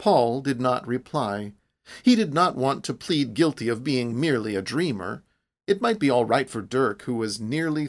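With a quiet background behind it, the reading voice sounds unforced.

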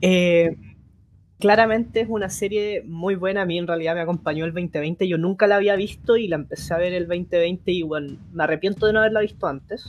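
Speaking at a fairly quick pace, a woman with a Chilean accent keeps a fairly low pitch and fairly even intonation. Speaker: podcast host. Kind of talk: casual chat.

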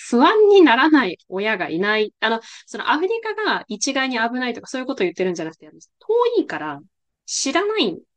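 The speaker moves at a fairly quick pace, with very wide swings in pitch. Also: woman, high pitch for a woman, big swings in loudness. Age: 20s. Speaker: podcast host. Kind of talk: casual interview chat.

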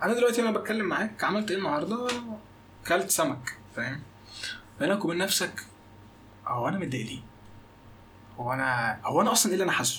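In a Cairo accent, a man speaks at a fairly quick pace and high pitch with very wide pitch swings and long, frequent pauses, over noticeable background noise and audible room echo. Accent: Egyptian Arabic, Cairo. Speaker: podcast co-host. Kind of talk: casual chat.

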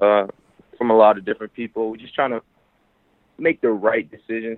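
The speaker is a man with an American accent. He keeps to a moderate pace. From Chicago, US. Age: young. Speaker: hip-hop artist. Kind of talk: interview.

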